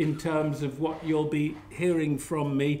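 Over light background noise, a man speaks at a fairly slow pace in a monotone, flat intonation. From Liverpool. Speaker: public health academic and activist. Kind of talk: lecture. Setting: lecture hall with audience. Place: hall.

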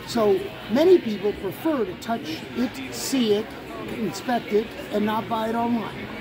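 There is crowd noise in the background as a man speaks. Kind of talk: interview answer. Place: hall. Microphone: phone near.

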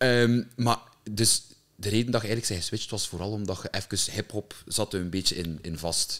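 This man has a fairly low pitch and a normal speaking voice, with fairly even intonation at a moderate pace. The background is quiet. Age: 20s. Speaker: podcast host. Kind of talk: casual chat. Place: studio. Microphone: studio mic.

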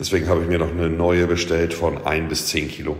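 His voice is very deep and low. There is audible room echo around this man. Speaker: streamer showing his home gym. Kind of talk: casual vlog chat. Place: gym. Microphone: phone near.

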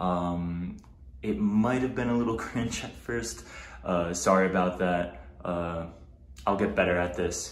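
With an American accent, a man speaks at a fairly slow pace in a very deep, low pitch, his intonation lively. Audible room echo surrounds his voice. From New Jersey. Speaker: vlogger and research assistant; vlogger. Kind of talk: casual vlog. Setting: at home, apartment tour. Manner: casual, frequent filler words. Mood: friendly, a bit self-conscious. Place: home room. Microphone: phone near.

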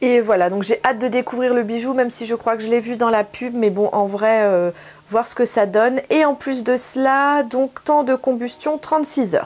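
Moderate pace and ordinary pitch variation from a woman with a fairly high voice. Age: 40s. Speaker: beauty YouTuber. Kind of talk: product haul review. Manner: casual, hesitant with frequent 'euh'. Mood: cheerful, enthusiastic. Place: home room. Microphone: camera far.

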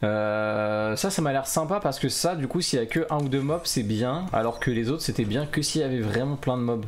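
A man's medium-pitched voice with lively intonation, a moderate pace and very even loudness. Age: 40s. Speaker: gaming YouTuber. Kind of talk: gameplay commentary. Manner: casual, hesitant with fillers.

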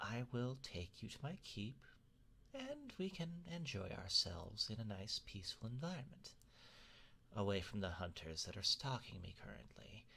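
Using a put-on character voice, a man speaks in a medium pitch. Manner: courteous, playful, wistful.

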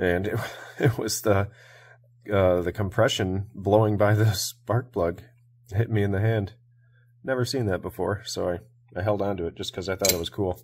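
A man with a fairly low pitch and a somewhat breathy voice speaks at a moderate pace, leaving long, frequent pauses. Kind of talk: casual tutorial commentary. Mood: relaxed, amused. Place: workshop.

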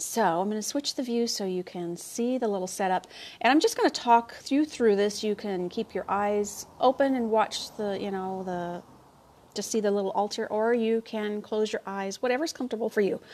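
The speaker is a woman talking at a moderate pace. Her pitch variation is ordinary. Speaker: spiritual guide hosting a live stream. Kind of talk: casual live stream chat. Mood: calm, warm. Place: garden. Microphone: earbuds.

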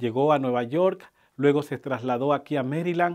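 Here a man talks fairly slowly. His pitch is fairly high, with ordinary variation. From Colombia, Buenaventura (Pacific coast). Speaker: groom. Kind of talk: wedding speech. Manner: formal.

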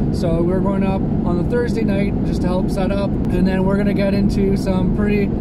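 A man talks at a moderate pace with hardly any pauses. The sound is dry with no echo, though loud background noise is present. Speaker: travel vlogger. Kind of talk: casual vlog chat. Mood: upbeat, excited. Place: car.

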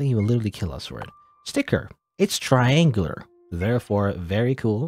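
Over a quiet background, a natural voice reads aloud.

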